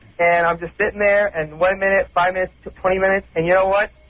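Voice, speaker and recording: This man has a high voice and fairly even intonation. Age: 20s. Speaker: caller. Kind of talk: phone-in call. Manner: halting, repetitive.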